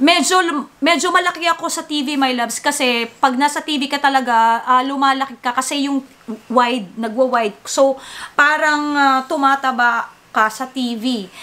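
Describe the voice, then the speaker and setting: A woman speaks in a raised, projected voice, high in pitch with ordinary pitch variation. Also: moderate pace. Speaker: vlogger and singer. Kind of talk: casual vlog chat. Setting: at home.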